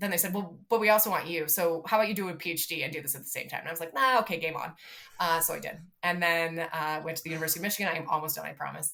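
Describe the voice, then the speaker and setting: At a very fast pace, a woman with a fairly low pitch speaks with big swings in loudness. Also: ordinary pitch variation. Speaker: city sustainability director. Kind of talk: interview.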